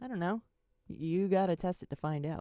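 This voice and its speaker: Lively intonation carries a dark, mellow tone. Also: woman. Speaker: podcast host, psychic medium. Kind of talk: casual solo podcast monologue. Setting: home, webcam recording. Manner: halting, stammering.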